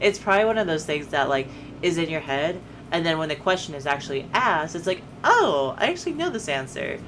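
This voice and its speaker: Over music in the background, a woman with a fairly low pitch talks at a very fast pace. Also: ordinary pitch variation. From United States. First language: Spanish. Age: 20s. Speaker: streamer. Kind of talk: casual chat.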